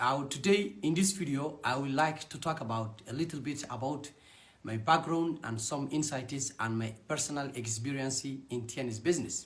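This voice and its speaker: Somewhat breathy and with a Somali accent, a man speaks at a moderate pace amid audible room echo. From Somalia. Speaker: network marketing distributor. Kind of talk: personal testimony.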